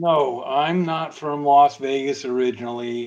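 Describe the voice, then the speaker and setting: A man with an American accent, a normal speaking voice, and fairly even intonation. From US South (Atlanta, Georgia). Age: 60s. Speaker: online community moderator. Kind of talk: casual chat. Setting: live stream.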